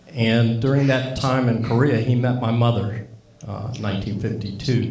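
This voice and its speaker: Fairly even intonation and a moderate pace come through audible room echo and noticeable background noise. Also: man. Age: 60s. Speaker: Air Force veteran speaking at a tribute event. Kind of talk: speech at a tribute event. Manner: halting.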